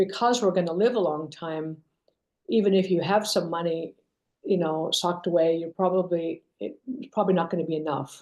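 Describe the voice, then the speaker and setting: A woman speaks at a fairly quick pace. Her pitch is fairly low, with ordinary variation. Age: 60s. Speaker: company co-founder and CEO. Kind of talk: interview. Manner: hesitant, many fillers.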